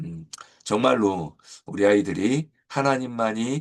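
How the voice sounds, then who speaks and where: A man at medium pitch and a very slow pace against a quiet background. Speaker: church education pastor. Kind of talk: teacher guide lecture. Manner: hesitant with many fillers.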